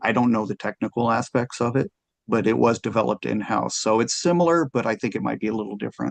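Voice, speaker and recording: Talking at a very fast pace, a man with a medium pitch shows lively intonation and vocal fry in a dry, close sound with no echo. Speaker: city solid waste staff presenter. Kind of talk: committee presentation and Q&A.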